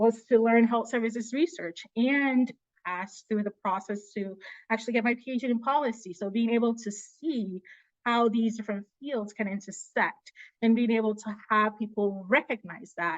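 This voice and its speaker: A woman's unremarkable speaking voice, fairly high in pitch with ordinary pitch variation, at a moderate pace in a dry, close sound with no echo. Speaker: presenter, public health policy researcher. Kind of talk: virtual panel presentation.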